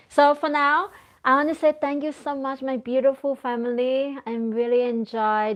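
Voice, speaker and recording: A woman speaks with a Thai accent. Her pitch varies in an ordinary way. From Thailand. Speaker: crochet content creator. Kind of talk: live stream chat. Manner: halting, self-correcting. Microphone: phone with external microphone.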